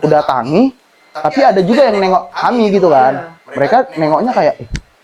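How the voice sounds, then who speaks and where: Noticeable background noise sits behind a man's high voice. His pitch swings very widely. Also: fairly quick pace. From North Sumatra, Batak/Medan. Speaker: university student. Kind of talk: podcast interview.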